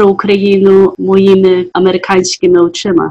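A woman talks at a medium pitch in a monotone, flat delivery. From US, Ukrainian diaspora family. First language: English (dominant), Ukrainian heritage (speaking Ukrainian). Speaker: artist. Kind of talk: interview. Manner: halting.

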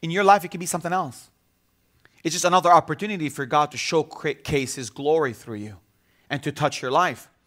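The speaker has an Arabic accent and a fairly quick pace. The recording is very clean, with a silent background. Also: man, fairly high pitch for a man, ordinary pitch variation, big swings in loudness. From Bethlehem, Palestinian territories. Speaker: visiting pastor. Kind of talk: sermon. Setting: church with congregation. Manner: repetitive, stammering restarts.

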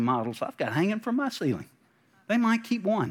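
On a very clean recording with a silent background, a man speaks at a very fast pace with very wide pitch swings. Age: 50s. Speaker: pastor. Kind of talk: sermon.

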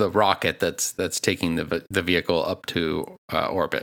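This man has an American accent. He talks fairly quickly. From US Northeast, Boston. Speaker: podcast co-host. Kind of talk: casual chat. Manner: halting, many fillers.

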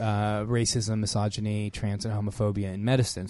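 This is a man's voice. His pitch sits fairly low. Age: 50s. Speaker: radio health show co-host, doctor. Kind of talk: casual chat.

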